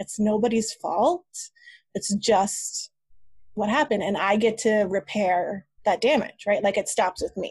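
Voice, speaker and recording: The voice is somewhat breathy, captured with a dry, close sound and no echo. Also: woman, fairly high pitch for a woman, ordinary pitch variation, fairly slow pace, quiet background. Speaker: email marketing business owner. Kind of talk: interview conversation.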